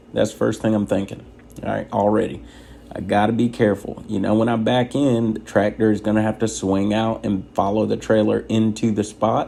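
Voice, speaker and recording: Soft-spoken and monotone, a man with a fairly low pitch talks at a fairly quick pace with flat intonation. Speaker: truck driver trainer. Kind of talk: tutorial. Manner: soft-spoken, quiet inside voice.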